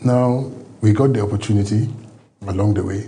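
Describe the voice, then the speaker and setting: A man with a fairly low voice talks at a moderate pace in monotone, flat intonation, with audible room echo around him. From Nigeria. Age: 60s. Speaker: former government agency head. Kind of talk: TV interview.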